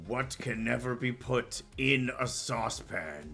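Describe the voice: A man's booming, put-on character voice at medium pitch, dramatic in tone and fairly slow, over clear background music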